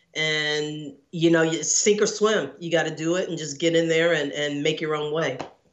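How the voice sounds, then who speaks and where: A woman's very deep, low voice with an American accent, at a moderate pace and with fairly even intonation, amid audible room echo. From Texas, Houston area. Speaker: screenwriter and actor. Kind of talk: interview.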